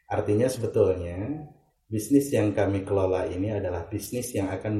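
Somewhat breathy and dark, mellow in tone, a man's fairly low voice moves at a fairly quick pace with audible room echo. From West Java, Indonesia (Ciamis). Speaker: travel agency executive. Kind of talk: interview.

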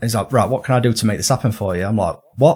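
A man with a northern English accent speaks at a fairly quick pace, his voice somewhat breathy. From northern England. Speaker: detailing documentary maker. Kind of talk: casual interview chat.

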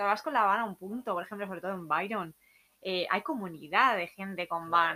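Talking at a very fast pace, a woman with a Valencian accent uses a bright, sharp tone, medium pitch and lively intonation. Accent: Peninsular Spanish (Alicante). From Spain, Alicante. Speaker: backpacker. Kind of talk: casual chat. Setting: room with open door, weak internet.

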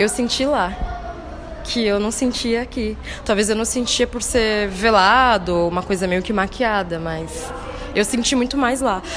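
At a fairly slow pace, a woman with a fairly high pitch and ordinary pitch variation is heard through audible room echo and noticeable background noise. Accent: São Paulo. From São Paulo city, Brazil. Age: 30s. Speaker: dancer and arts educator. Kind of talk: interview.

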